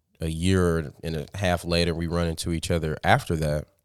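A man with an American accent and a very deep, low pitch, at a moderate pace, in a very clean recording with a silent background. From US Midwest, Sioux Falls, South Dakota. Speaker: DJ. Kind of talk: casual interview.

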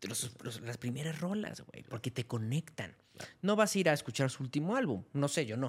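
Delivered at a moderate pace, the speech runs on with hardly any pauses. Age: 30s. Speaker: music critic and content creator. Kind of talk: casual chat.

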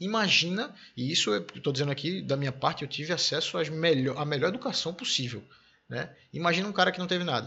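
Racing along at a very fast pace, a man speaks with a fairly high pitch, lively intonation and vocal fry. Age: 30s. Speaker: podcast host. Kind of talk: casual interview.

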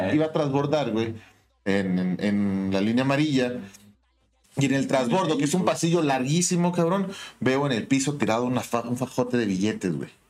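This man has a plain, everyday voice, speaking at a moderate pace and medium pitch with lively intonation. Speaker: podcast co-host. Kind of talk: casual chat.

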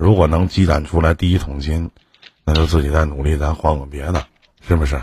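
In a very deep, low voice, a man talks fairly quickly with a monotone, flat intonation. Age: 40s. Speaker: livestream advice host. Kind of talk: livestream call-in advice. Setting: livestream voice link.

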